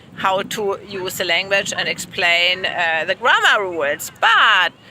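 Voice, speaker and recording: A woman with a German accent talks at a fairly slow pace over noticeable background noise. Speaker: language teacher. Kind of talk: casual chat. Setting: outdoors at the beach.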